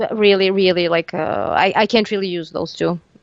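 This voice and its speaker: The speaker talks at a moderate pace with a Serbian accent. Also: woman. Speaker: metal band lead singer. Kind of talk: casual interview. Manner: halting, many fillers and restarts.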